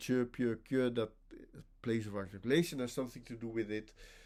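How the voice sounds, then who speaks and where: This man speaks in a Dutch accent at a moderate pace. The recording is very clean with a silent background. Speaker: linguistics professor. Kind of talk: academic lecture. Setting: conference workshop presentation. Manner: halting, many self-corrections.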